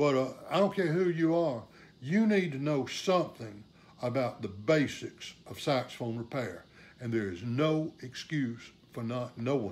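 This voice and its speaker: A man with an ordinary speaking voice talks at a fairly slow pace. His pitch is medium and his intonation lively. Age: 60s. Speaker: saxophonist and repair teacher. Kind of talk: live stream talk. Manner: casual, many fillers.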